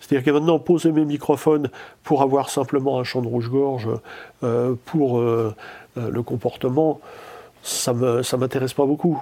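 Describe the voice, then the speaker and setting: A man with a medium pitch and a dark, mellow tone speaks at a moderate pace. His intonation stays fairly even, broken by long, frequent pauses. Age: 60s. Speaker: nature sound recordist. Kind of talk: interview. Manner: halting, many repetitions.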